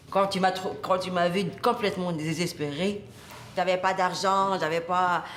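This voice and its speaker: With noticeable background noise and audible room echo, a woman speaks at medium pitch in a fairly slow, monotone, flat way. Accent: Tunisian. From Tunisia. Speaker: comedian. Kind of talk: interview. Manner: halting.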